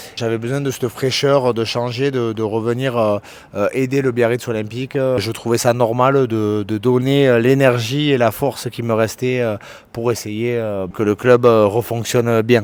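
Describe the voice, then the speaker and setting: Fairly slow in pace, a man speaks. His intonation is monotone and flat. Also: medium pitch for a man. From French Basque Country, Bayonne. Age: 30s. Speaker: professional rugby player. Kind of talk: interview. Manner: hesitant, many filler sounds.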